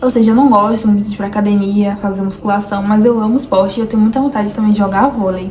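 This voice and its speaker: With noticeable background noise, the talking proceeds at a fairly quick pace. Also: woman. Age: 20s. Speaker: vlogger. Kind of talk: personal vlog monologue.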